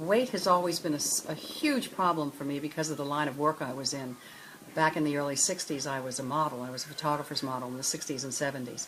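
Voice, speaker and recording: Against noticeable background noise, a woman with a very deep, low pitch talks at a very fast pace with ordinary pitch variation. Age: 70s. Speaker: former fashion model. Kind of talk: interview testimony. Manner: halting.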